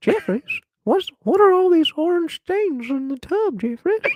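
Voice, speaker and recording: A squeaky, extremely high-pitched put-on character voice at a moderate pace. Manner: fussy.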